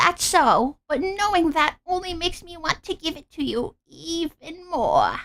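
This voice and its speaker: Putting on a character voice, a woman talks at a moderate pace with extremely high pitch and ordinary pitch variation. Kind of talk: put-on granny voice. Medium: read story. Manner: warm, motherly, calls others dear.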